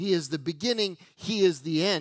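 In a raised, projected voice, a man speaks out. The background is quiet and the sound is dry with no echo. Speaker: pastor. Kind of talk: sermon. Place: church. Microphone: headset.

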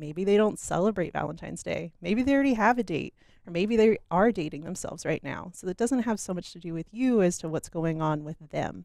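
Speaking at a fairly quick pace with hardly any pauses and lively intonation, a woman sounds dry with no echo against a quiet background. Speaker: relationship coach guest. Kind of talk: interview answer. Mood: warm, upbeat, smiling. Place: studio. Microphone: headset.

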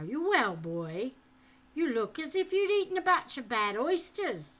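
A gruff put-on character voice at a moderate pace with very wide pitch swings. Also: woman, high pitch for a woman. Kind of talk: reading aloud a book with character voices. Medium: read story. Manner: gruff, bantering. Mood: gruff concern.

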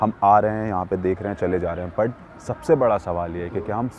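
In a dry recording with no echo and light background noise, a man speaks fairly quickly at a fairly low pitch with ordinary pitch variation. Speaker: video reporter. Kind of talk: commentary. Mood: thoughtful, concerned. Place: street.

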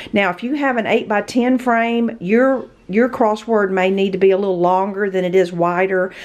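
In an American accent, a woman speaks at a moderate pace and medium pitch with ordinary pitch variation. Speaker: craft video creator. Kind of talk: tutorial.

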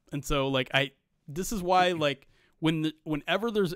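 Moderate pace and ordinary pitch variation in a dry sound with no echo and a quiet background. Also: man. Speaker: producer and podcast host; podcast host. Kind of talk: casual chat. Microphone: studio mic.

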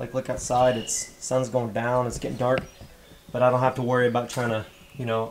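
Monotone, flat delivery at a fairly quick pace over light background noise. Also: man. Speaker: diesel truck vlogger. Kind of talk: casual vlog chat. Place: garage. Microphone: phone near.

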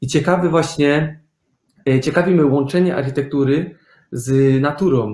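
Audible room echo surrounds a man speaking at a fairly slow pace. His pitch varies in an ordinary way against a quiet background. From Germany. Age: young. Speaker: architect; guest. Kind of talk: interview. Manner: hesitant, with fillers. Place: home room.

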